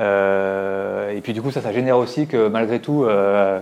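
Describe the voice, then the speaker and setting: Ordinary pitch variation marks this man's fairly low-pitched voice. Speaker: tech company executive. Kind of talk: conference talk. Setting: stage with audience. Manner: fast; halting, many repetitions.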